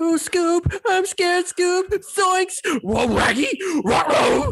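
A put-on character voice is pitched extremely high. It moves at a very slow pace. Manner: frightened, comic.

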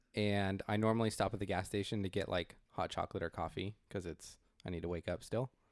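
A man with an American accent speaks at a fairly quick pace in a fairly low voice, his intonation flat and monotone. The recording is very clean and dry, close-miked with a silent background and no echo. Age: 30s. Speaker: podcast co-host. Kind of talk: casual chat.

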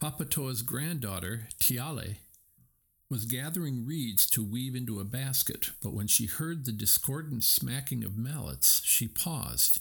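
In a very clean recording with a silent background, a man talks at a fairly slow pace in a normal speaking voice. His pitch is medium with ordinary variation, and his loudness stays very even. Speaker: audiobook narrator. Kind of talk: scripted folk tale narration, read aloud. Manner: gentle, warm storytelling pace; rhythmic, with playful sound-effect beats and voiced dialogue.

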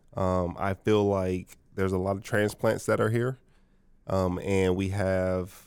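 In a very clean recording with a silent background, a man with a very deep, low pitch speaks at a moderate pace. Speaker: brewer. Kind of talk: casual interview chat.

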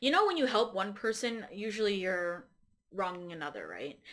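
A woman talks at a fairly quick pace with lively intonation and a medium pitch. It is an ordinary speaking voice. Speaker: guest, host's romantic partner. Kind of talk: casual chat. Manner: giggly, laughs often.

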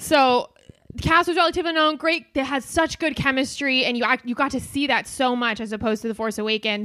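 Raised and projected, a woman's high-pitched voice with a bright, sharp tone races at a very fast pace with ordinary pitch variation. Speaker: comedian and podcaster. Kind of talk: casual chat.

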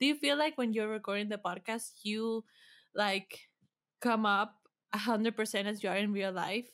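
A moderate pace with ordinary pitch variation, in a non-native accent. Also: woman, fairly high pitch for a woman. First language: not English. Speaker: podcast producer. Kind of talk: casual interview.

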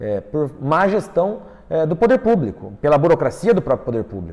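Speaking at a fairly quick pace, a man with a fairly high pitch shows vocal fry and very wide pitch swings. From Londrina, Paraná, Brazil. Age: 20s. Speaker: politician. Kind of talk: interview. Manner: halting, frequent fillers.

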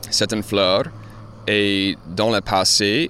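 The delivery has fairly even intonation. It moves at a very slow pace. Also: man. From Louisiana. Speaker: journalist and gardener. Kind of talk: casual interview.

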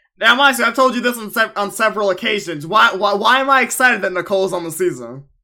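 Speaking very fast with hardly any pauses, a man with an American accent uses a raised, projected voice that is high-pitched, bright and sharp. His pitch varies in an ordinary way. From Long Island, New York. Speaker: podcast host. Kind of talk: casual chat.

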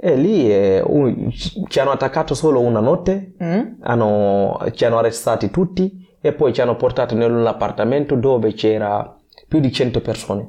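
Keeping his loudness very even, a man with a dark, mellow tone talks at a moderate pace. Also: medium pitch for a man, lively intonation. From Guinea. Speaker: weightlifting athlete. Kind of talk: interview. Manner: halting.

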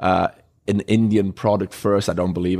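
The speaker has a Welsh accent and a very fast pace. Intonation stays fairly even. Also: man. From Wales. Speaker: bar owner. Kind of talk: casual chat. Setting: bar.

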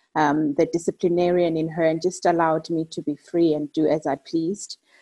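A fairly low-pitched woman's voice with a South African accent, dark and mellow in tone, dry and close with no echo, over a quiet background. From South Africa, Eastern Cape. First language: Xhosa. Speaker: career and personal development coach. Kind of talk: interview.

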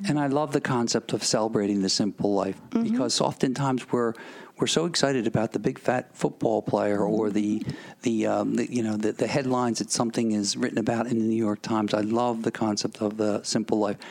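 A man with an American accent, a normal speaking voice, medium pitch, fairly even intonation, very even loudness and a fairly quick pace. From Philadelphia. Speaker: radio host. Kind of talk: radio interview.

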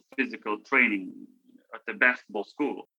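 A man with a Lithuanian accent talks at a moderate pace in a bright, sharp tone of medium pitch, recorded dry and close with no echo. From Lithuania, Vilnius. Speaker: former college basketball player. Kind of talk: interview. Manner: halting.

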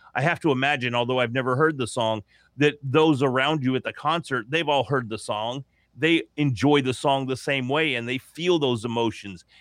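A man talks in an ordinary speaking voice at medium pitch, with ordinary pitch variation and a moderate pace. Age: 40s. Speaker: podcaster. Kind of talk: interview.

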